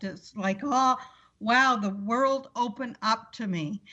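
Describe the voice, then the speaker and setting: A woman speaks in a normal speaking voice at a fairly slow pace. Her pitch variation is ordinary. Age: 60s. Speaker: motivational speaker on weight loss. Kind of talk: interview conversation.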